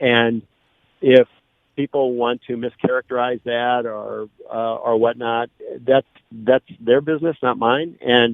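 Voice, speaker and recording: With a Midwestern US accent, a man speaks in a medium pitch at a fairly slow pace. His delivery is monotone and flat, broken by long, frequent pauses. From St. Louis area (Belleville, Illinois). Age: 60s. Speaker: political candidate. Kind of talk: radio interview. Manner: halting, many fillers.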